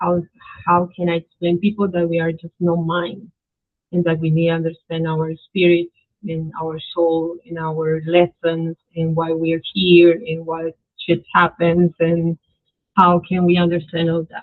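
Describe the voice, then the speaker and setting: Her intonation is monotone and flat, with a Spanish accent. This woman speaks at a fairly slow pace with a fairly low pitch. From Colombia. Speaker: spiritual practitioner. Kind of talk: interview. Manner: halting.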